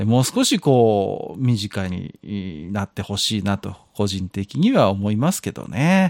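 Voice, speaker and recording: A man with a normal speaking voice talks at a fairly low pitch, using lively intonation at a fairly slow pace. The sound is dry and close with no echo, a very clean recording with a silent background. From outside Kansai, Japan. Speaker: podcast co-host. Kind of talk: casual chat.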